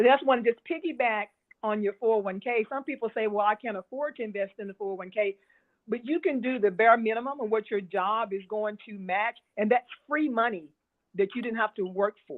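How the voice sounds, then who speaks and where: A woman's unremarkable speaking voice, fairly high in pitch with ordinary variation, at a fairly quick pace. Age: 60s. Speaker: experienced stock market investor. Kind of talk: interview.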